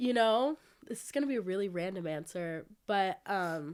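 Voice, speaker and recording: A woman with an American accent speaks at a medium pitch and a moderate pace. Her intonation is lively, and the recording is very clean with a silent background. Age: young. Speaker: student. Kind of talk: casual interview. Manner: hesitant, many fillers.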